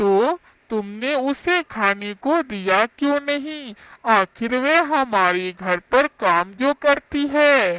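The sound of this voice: In a cartoonish character voice, a female-sounding speaker talks very slowly at a high pitch.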